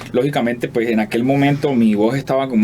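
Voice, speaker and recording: Someone speaks at a fairly quick pace with fairly even intonation over noticeable background noise. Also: man. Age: 30s. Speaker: singer-songwriter. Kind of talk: interview. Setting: studio. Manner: halting.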